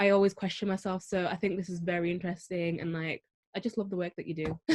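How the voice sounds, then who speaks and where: In a Manchester accent, a woman speaks at a fairly quick pace with a medium pitch and a monotone, flat intonation. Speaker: beauty pageant winner. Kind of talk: casual introduction.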